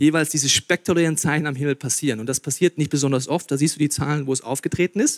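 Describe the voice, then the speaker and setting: Recorded dry and close with no echo over a very clean, silent background, a man speaks at a fairly high pitch in an animated tone. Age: 30s. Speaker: pastor. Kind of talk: sermon.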